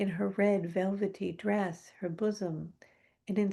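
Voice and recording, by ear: The text is being read aloud in a natural voice.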